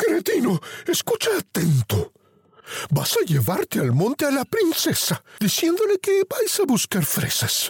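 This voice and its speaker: A man performs a put-on character voice at an extremely high pitch. He speaks at a fairly slow pace. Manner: furious, menacing.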